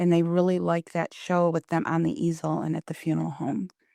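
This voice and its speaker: On a very clean, dry, close recording with a silent background and no echo, a soft-spoken woman with a fairly low pitch and a dark, mellow tone talks at a moderate pace. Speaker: founder of a paper wreath company, entrepreneur. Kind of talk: podcast interview answer.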